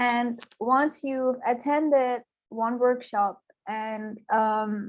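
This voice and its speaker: Fairly even intonation from a woman with a high pitch and an Iranian accent. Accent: Iranian (Persian) English. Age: 20s. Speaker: youth programme mentor. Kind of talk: interview.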